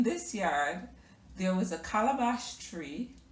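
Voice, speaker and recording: Through noticeable background noise and audible room echo, a woman speaks at a fairly high pitch with very wide pitch swings. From Jamaica, Kingston. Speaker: lifestyle vlogger. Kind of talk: personal storytelling vlog. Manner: hesitant, many fillers.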